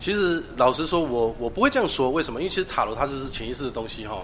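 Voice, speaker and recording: Intonation is lively, spoken with a Taiwanese accent. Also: man. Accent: Taiwanese Mandarin. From Taiwan, Taichung. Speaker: tarot reader. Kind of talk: interview.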